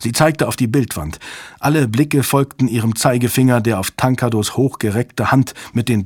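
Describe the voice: This recording is plain reading aloud.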